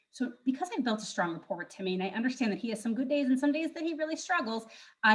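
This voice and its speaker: A somewhat breathy woman speaks with an American accent and very wide pitch swings. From US, Buffalo NY. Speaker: career center director. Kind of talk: workshop presentation. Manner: fast; animated.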